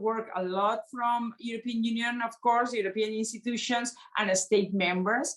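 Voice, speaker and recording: Against noticeable background noise, a woman with a Spanish accent speaks at a fairly high pitch in a fairly even intonation. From Spain. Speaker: member of European Parliament. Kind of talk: panel discussion. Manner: halting, many fillers.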